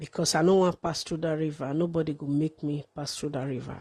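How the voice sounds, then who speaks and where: The tone is dark and mellow, with ordinary pitch variation. The background is quiet. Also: woman. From Nigeria. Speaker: live streamer. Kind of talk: livestream monologue.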